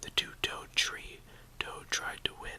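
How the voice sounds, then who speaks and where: A man whispers at a fairly slow pace over noticeable background noise. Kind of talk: ASMR whisper reading of tongue twisters. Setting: mouth close to camera, casual home video. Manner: whispered, relaxing; chewing gum while speaking.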